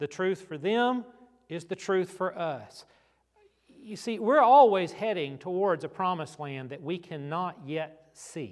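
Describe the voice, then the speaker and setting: This man has a high voice and lively intonation. He speaks fairly slowly, with big swings in loudness. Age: 40s. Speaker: pastor. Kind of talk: sermon. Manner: conversational.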